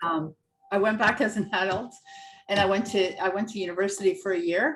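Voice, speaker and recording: Over music in the background, a woman with a medium-pitched voice talks at a fairly quick pace with ordinary pitch variation. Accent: Canadian. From Canada, from age six; born in Croatia. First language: Croatian. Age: 50s. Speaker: empowerment coach and author. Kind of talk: interview. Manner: animated.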